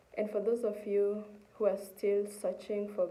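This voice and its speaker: Noticeable background noise and audible room echo surround the voice. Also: woman. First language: Kikuyu-area Kenyan language (mother tongue). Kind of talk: testimony.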